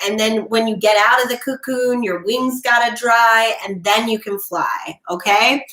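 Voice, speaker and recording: A woman's bright, sharp tone at a fairly high pitch. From Florida. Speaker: tarot reader. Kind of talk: live stream tarot readings. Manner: loud; animated.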